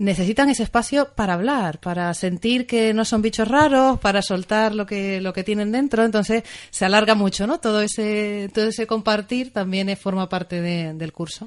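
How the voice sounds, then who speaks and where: Speaking with a Canarian accent, a woman keeps a moderate pace. Her fairly high pitch shows ordinary variation. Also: hardly any pauses. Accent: warm Canarian. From Canary Islands (Tenerife). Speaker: family therapist and maternity coach. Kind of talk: radio interview.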